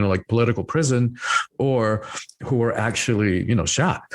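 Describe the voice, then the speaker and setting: With an American accent, a man talks at a fairly quick pace in an unremarkable speaking voice, with a medium pitch and ordinary pitch variation. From Cuba, then rural Georgia (US). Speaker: spiritual teacher and author. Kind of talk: podcast interview. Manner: many fillers and repetitions.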